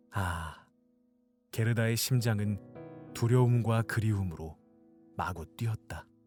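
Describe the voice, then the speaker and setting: Over music in the background, a man with a fairly low pitch uses lively intonation at a very slow pace, with long, frequent pauses. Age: young. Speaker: audiobook reader, aspiring voice actor. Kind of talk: fairy-tale narration with character voices.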